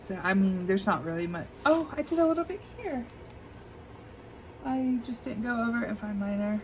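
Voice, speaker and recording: A woman speaks with a slight Southern US accent at medium pitch. Her intonation is lively. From US South. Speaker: coloring hobby video creator. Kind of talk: casual show-and-tell. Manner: hesitant, many fillers.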